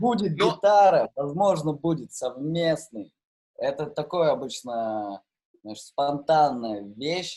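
The tone is dark and mellow, and the pitch swings very widely. The pace is very slow. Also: man, fairly high pitch for a man. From Novosibirsk, Russia. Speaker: rapper and DJ. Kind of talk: casual chat. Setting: video call.

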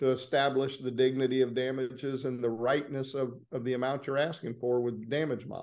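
A man with a Southern US accent talks at a fairly quick pace. His medium-pitched voice has a dark, mellow tone. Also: quiet background. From Florida, small town north of Orlando. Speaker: personal injury trial lawyer. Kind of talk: interview conversation.

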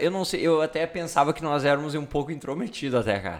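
A man with a plain, everyday voice speaks with ordinary pitch variation. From Rio Grande do Sul, Brazil (Sobradinho). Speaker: podcast host. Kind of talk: casual chat.

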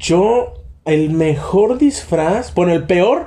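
This man's voice comes with noticeable background noise. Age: 20s. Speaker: podcast host. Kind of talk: casual chat.

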